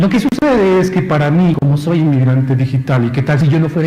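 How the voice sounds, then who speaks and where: Audible room echo and noticeable background noise accompany a man talking at a fairly quick pace with ordinary pitch variation. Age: 40s. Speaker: university lecturer. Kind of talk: conference talk. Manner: conversational, frequent tag questions.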